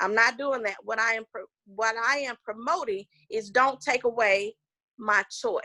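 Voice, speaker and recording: In a Southern US accent, the speaker talks at a fairly slow pace in an animated, bright, sharp tone with ordinary pitch variation, the sound dry and close with no echo. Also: woman. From US South (Georgia). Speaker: political candidate. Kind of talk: interview.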